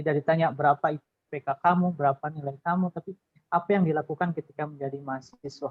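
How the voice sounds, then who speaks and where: Talking very fast, this man has a fairly high voice and fairly even intonation. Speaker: alumnus, employee. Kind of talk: webinar talk sharing tips.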